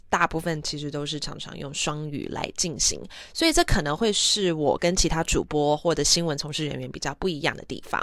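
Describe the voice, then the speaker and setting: A woman with a very deep, low pitch speaks at a fairly quick pace, her intonation fairly even but her loudness swinging widely. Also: hardly any pauses. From Taiwan. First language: English (speaking Chinese). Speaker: former news anchor, podcast host. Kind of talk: casual bilingual monologue. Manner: frequent Mandarin-English code-switching.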